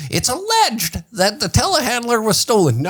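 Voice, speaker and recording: A put-on character voice comes through at a fairly high pitch and a moderate pace. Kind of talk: formal broadcast.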